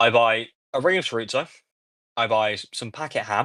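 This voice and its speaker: A man with an English accent speaks at a moderate pace and medium pitch. His tone is bright and sharp over a quiet background. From England. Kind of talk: casual chat. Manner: halting.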